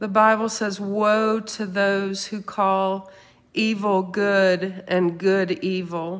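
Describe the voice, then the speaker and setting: Speaking very slowly, a woman uses a warm tone and fairly even intonation. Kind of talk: fervent intercessory prayer, spoken aloud to God after a teaching. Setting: online video, speaking to live viewers. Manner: earnest, pleading, impassioned; conversational, warm, informal. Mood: earnest, intense. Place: home room. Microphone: phone near.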